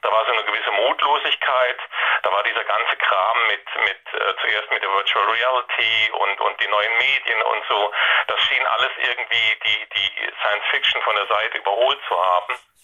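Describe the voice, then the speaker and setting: Loudness stays very even at a moderate pace, with noticeable background noise behind the voice. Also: man. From Saarland, Germany. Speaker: science fiction writer and journalist. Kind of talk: interview.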